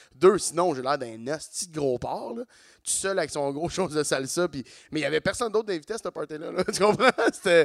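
Fairly high-pitched and fairly quick, this man uses a plain, everyday voice with lively intonation. The sound is dry and close, with no echo. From Quebec, Saint-Eustache. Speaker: comedian. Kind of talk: casual chat. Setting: stage with audience.

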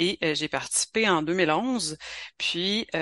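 A woman speaks with a Quebec accent in a bright, sharp tone and ordinary pitch variation. The background is quiet. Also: dry, close sound with no echo. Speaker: author. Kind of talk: interview.

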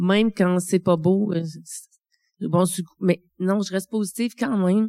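A woman's dark, mellow tone at medium pitch, moderate in pace, with fairly even intonation. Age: 40s. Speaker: midwife living with early-onset Alzheimer's. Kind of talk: testimony. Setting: stage with audience. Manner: halting.

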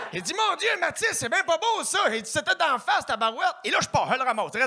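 With an extremely high pitch and a bright, sharp tone, a man projects a raised voice at a fairly quick pace. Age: 20s. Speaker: stand-up comedian. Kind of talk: stand-up.

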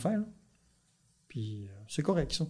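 This voice is somewhat breathy. Its tone is dark and mellow. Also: man. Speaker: dairy farmer and farm union leader. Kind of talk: casual interview.

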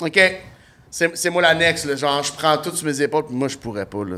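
A man with a Quebec accent speaks in a fairly high pitch with an animated tone. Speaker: comedian. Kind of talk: casual chat.

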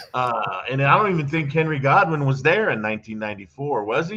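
A man talks at a moderate pace with lively intonation and a fairly high pitch. His is a plain, everyday voice. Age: 50s. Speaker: former pro wrestler. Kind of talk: interview.

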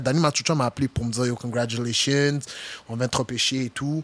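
A man at a medium pitch speaks fairly quickly in a flat monotone, the sound dry and close with no echo. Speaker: football player. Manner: intense.

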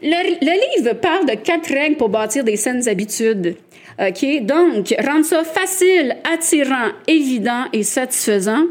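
A woman's high-pitched voice at a very slow pace, with very wide pitch swings. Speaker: podcast co-host. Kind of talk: casual chat. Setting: live recording with audience.

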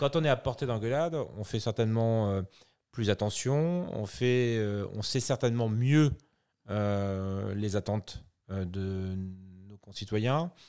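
A man's medium-pitched, dark and mellow voice, very slow, with big swings in loudness and long, frequent pauses, on a very clean recording with a silent background. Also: ordinary pitch variation. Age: 40s. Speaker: mayor. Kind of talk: interview. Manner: formal.

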